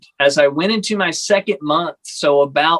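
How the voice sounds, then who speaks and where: A man speaks with a Texan accent and ordinary pitch variation, in a dry, close sound with no echo. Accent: Texan American. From Texas. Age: 30s. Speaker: pastor. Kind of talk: casual chat.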